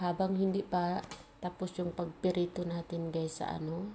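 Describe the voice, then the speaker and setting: This is a woman speaking. Her pitch is medium. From Philippines. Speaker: cooking vlogger. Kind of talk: cooking tutorial. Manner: soft-spoken; casual.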